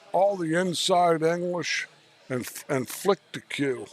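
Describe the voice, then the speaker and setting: A man's voice at a very slow pace, ordinary pitch variation, noticeable background noise behind it. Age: 70s. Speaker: pool commentator. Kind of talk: live commentary. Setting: at the venue near the table. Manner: halting, frequent repetitions and fillers.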